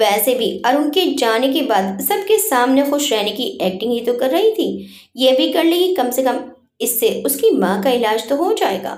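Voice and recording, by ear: The voice has a slightly mellow tone and moves through big pitch swings. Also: woman, high pitch for a woman, moderate pace.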